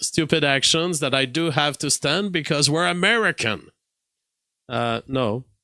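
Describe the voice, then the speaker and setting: A man's fairly high voice, bright and sharp in tone, moves at a moderate pace with ordinary pitch variation on a very clean recording with a silent background. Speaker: political commentary show host. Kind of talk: live-stream political commentary monologue. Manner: hesitant, many fillers and restarts.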